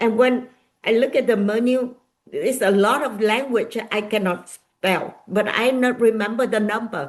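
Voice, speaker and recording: With a Vietnamese accent, a woman talks at a fairly slow pace, her fairly high pitch showing ordinary variation. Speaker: nonprofit founder and author. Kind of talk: interview. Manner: halting.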